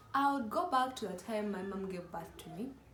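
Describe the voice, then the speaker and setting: A woman's medium-pitched voice at a moderate pace, with ordinary pitch variation and audible room echo. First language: not English. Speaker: YouTuber. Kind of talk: casual vlog chat. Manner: animated.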